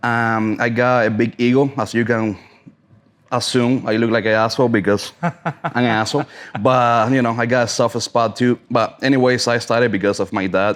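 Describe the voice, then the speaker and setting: With a Cuban accent, a man speaks at a moderate pace and medium pitch in a flat monotone, his loudness very even against a quiet background. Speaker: cigar sommelier and brand ambassador. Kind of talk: casual chat.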